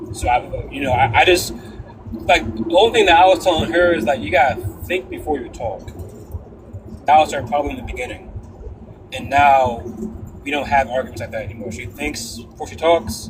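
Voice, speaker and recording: Lively intonation from a man with a fairly high pitch, big swings in loudness, long, frequent pauses and noticeable background noise. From Connecticut. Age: 20s. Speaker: panel participant. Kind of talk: casual chat. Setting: live stream panel. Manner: halting.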